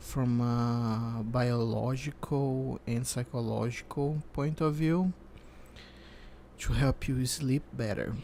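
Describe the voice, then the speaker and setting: A soft-spoken man talks at a very slow pace in a calm, dark, mellow tone, with medium pitch and very even loudness. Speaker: psychologist. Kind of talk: ASMR sleep counseling roleplay. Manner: soft-spoken, calm.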